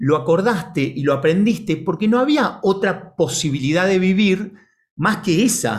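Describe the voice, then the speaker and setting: The pace is fairly slow. The intonation is lively. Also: man. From Argentina, Buenos Aires. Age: 40s. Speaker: ontological coach, organization director. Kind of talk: talk to online audience.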